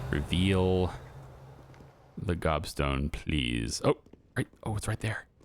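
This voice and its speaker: A man's very deep, low voice with vocal fry, at a very slow pace broken by long, frequent pauses. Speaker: gaming YouTuber. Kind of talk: gameplay commentary. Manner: halting, stuttering when focused; casual, many fillers.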